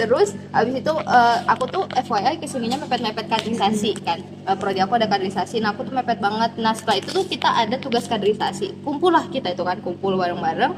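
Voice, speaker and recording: A woman's fairly high, animated voice with lively intonation, a very fast pace and hardly any pauses, against noticeable background noise. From Medan, North Sumatra, Indonesia. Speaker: university student. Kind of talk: casual chat. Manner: loud.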